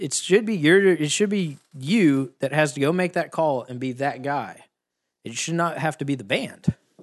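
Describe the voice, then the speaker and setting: In a quiet background, a man with an American accent has a plain, everyday voice, fairly high-pitched, with lively intonation at a moderate pace. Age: 20s. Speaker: live sound engineer. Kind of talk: casual chat. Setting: kitchen table at home.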